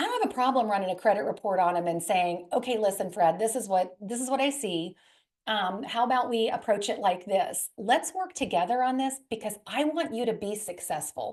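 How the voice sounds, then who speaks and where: The delivery comes at a fairly quick pace with lively intonation. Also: woman, fairly high pitch for a woman. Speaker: credit specialist, presenter. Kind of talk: webinar presentation. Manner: fast.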